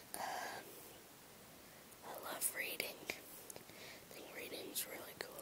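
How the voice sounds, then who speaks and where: Whispering over noticeable background noise. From England. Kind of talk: casual talk to camera; ASMR whisper. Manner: whispered.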